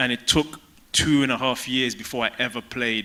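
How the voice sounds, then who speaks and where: A man with a London accent, bright, sharp tone, moderate pace and fairly even intonation. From London, England (Tottenham). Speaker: former pro soccer player. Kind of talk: stage interview.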